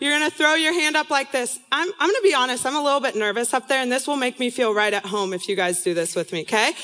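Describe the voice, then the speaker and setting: Over noticeable background noise, a woman with an American accent projects her high-pitched voice at a very fast pace, with very wide pitch swings and hardly any pauses. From San Diego, California. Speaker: student ministry intern and speaker. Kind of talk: sermon-style talk to students. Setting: stage with audience.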